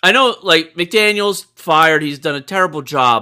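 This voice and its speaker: Moving at a moderate pace, a man speaks in a raised, projected voice with a bright, sharp tone and lively intonation. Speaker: podcast host. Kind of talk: casual sports chat.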